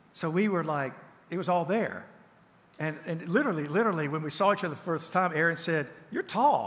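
A man's high-pitched voice in a Southern US accent, at a fairly quick pace. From Tennessee. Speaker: counselor and author; pastor or teacher. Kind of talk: sermon. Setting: church. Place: church.

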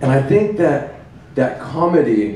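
A man speaks, and room echo can be heard around him. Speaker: open mic comedian. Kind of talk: stand-up comedy routine. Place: cafe. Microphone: camera far.

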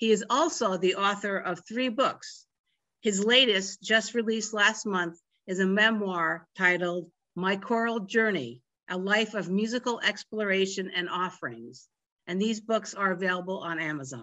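In a plain, everyday voice, a woman talks at a moderate pace and medium pitch, her intonation lively, with a quiet background. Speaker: library program host. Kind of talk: introduction and closing remarks. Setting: video call. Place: home room. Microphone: video call.

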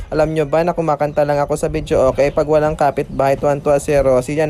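Very fast delivery with hardly any pauses over noticeable background noise. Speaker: vlogger. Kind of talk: vlog narration. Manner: animated.

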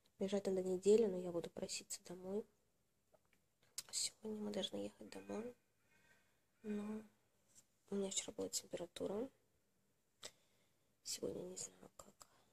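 A woman at a moderate pace, with long, frequent pauses over light background noise. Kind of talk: casual vlog chat. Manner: weak, listless patient voice. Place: home room. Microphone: phone near.

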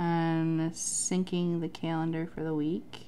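A woman with a fairly low pitch talks at a very slow pace over light background noise. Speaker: planner vlogger. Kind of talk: tutorial. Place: home room.

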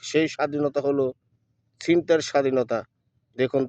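This man speaks at a fairly high pitch with ordinary pitch variation, in a dry, close sound with no echo. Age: 40s. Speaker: political video blogger. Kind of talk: political monologue to camera. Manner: halting, many pauses.

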